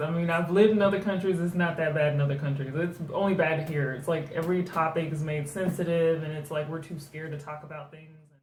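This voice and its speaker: A woman with a fairly low pitch and ordinary pitch variation talks at a fairly quick pace with hardly any pauses and big swings in loudness, over noticeable background noise. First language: German. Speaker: book reviewer. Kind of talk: casual book review chat. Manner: hesitant, many fillers.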